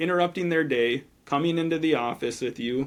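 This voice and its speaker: An unremarkable speaking voice from a man, at a moderate pace with fairly even intonation. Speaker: financial advisor. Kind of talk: podcast interview.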